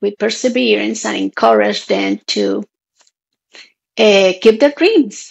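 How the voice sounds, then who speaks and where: Speaking very slowly, a woman talks with a Spanish accent. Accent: Spanish accent, noticeable. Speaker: author. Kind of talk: interview.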